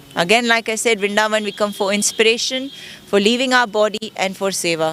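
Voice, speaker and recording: A woman's voice, pitched fairly high and rising and falling in a normal way, is heard against clearly audible background noise. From Kenya. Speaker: Krishna devotee. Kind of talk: interview answer.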